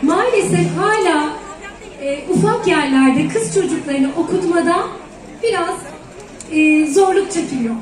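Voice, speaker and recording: Speaking at a very slow pace with long, frequent pauses, a woman with an extremely high voice uses lively intonation over audible room echo and crowd noise in the background. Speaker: dietitian. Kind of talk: public speech. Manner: talkative.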